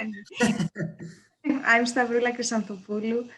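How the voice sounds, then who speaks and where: A woman talks with a Greek accent. Her intonation is monotone and flat. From Greece. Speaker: professor. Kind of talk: self-introduction at online open house.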